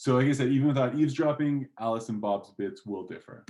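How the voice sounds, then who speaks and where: Speaking with a non-native accent, a man uses a medium pitch, ordinary pitch variation and a dark, mellow tone. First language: not English. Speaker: guest lecturer. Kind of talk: lecture. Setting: online lecture. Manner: casual, with fillers. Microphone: slightly distorted audio.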